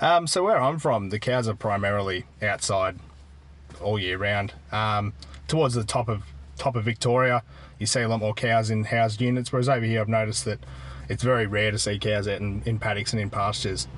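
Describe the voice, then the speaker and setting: Fairly quick in pace, a man speaks with an Australian accent. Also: fairly low pitch for a man, ordinary pitch variation. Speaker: dairy farmer. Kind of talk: casual interview. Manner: hesitant, filler words.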